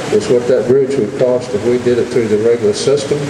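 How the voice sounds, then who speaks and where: A man speaks at a fairly quick pace with ordinary pitch variation, with audible room echo and noticeable background noise. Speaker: state legislator. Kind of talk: political speech. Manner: loud.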